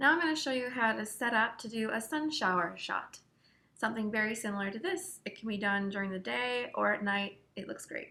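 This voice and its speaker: A woman's fairly high voice has a bright, sharp tone and lively intonation. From Canada, Hamilton Ontario. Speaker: photographer. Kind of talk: tutorial.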